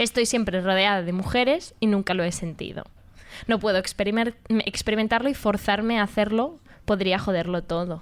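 A woman with an unremarkable speaking voice talks at medium pitch and a fairly quick pace. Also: ordinary pitch variation. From Madrid, Spain. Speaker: radio host. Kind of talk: casual chat.

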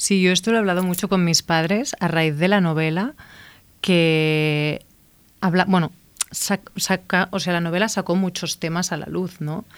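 A woman speaks in a plain, everyday voice, fairly slow and fairly low in pitch. Her intonation stays fairly even on a very clean recording with a silent background. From Catalonia, Igualada. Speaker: novelist and screenwriter. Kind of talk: interview.

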